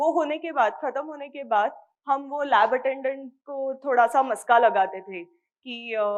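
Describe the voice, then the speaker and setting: A woman speaks with a Marathi accent at a high pitch. Her loudness swings widely while her pitch variation stays ordinary. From India, Mumbai (Maharashtra). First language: Marathi (speaking Hindi). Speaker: microbiology PhD scholar. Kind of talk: interview talk to students.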